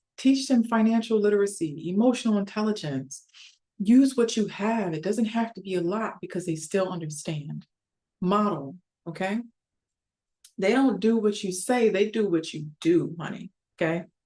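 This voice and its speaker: A woman speaks in a calm, dark, mellow tone. Her pitch is medium and varies in an ordinary way. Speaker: psychologist and relationship coach. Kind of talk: educational talk. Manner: fast.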